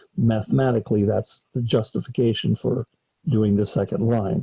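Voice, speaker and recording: Recorded dry and close with no echo, a man's dark, mellow voice comes through somewhat breathy. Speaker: college math professor. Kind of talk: lecture.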